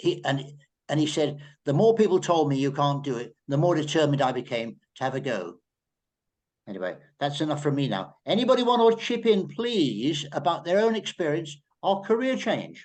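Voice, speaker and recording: This man's voice sits fairly high and makes very wide pitch swings. He keeps a moderate pace. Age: 80s+. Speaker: journalist. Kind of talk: panel discussion. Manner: halting.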